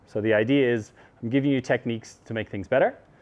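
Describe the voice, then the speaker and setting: A man with an Irish accent talks at a very fast pace, with a medium pitch and ordinary pitch variation. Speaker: mobility coach. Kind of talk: instructional seminar.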